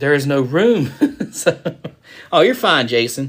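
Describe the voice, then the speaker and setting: A man speaks with a Southern US accent. His pitch swings very widely. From US South. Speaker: card break streamer. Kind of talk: live stream chat. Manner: casual, animated.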